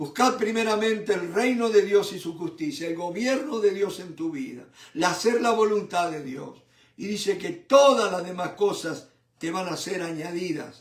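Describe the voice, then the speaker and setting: Talking at a fairly slow pace, a man with a high pitch lets his loudness swing widely. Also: ordinary pitch variation. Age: 70s. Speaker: preacher. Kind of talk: sermon. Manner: animated.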